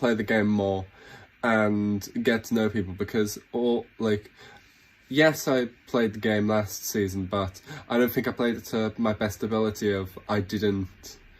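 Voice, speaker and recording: Fairly slow, fairly low male voice in a British accent, with fairly even intonation. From Britain. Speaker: reality game show contestant. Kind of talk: casting audition video. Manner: halting, many false starts.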